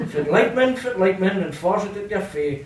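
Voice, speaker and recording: In a northeast Scottish accent, a man with a high pitch talks at a moderate pace with lively intonation, and audible room echo is present. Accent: Doric Scots. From North-east Scotland. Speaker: poet. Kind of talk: poetry reading. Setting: live venue. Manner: melodic, rhythmic. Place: hall. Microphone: camera far.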